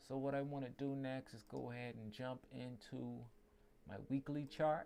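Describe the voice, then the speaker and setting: In a Caribbean accent, a man talks at a moderate pace and medium pitch, with fairly even intonation and a dark, mellow tone. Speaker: trading analyst. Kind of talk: tutorial. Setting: livestream. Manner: casual.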